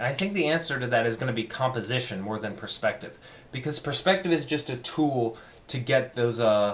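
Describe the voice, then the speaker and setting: A man talks at a fairly quick pace in a medium pitch, his tone animated. Noticeable background noise runs under the recording. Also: ordinary pitch variation. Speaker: art student video diarist. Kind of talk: personal video diary monologue. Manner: speeds up and gets more animated.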